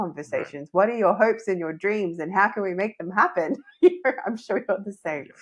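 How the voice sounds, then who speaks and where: Talking at a fairly quick pace, a woman uses a normal speaking voice, medium in pitch, with ordinary pitch variation. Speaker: podcast host. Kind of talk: podcast host conversation.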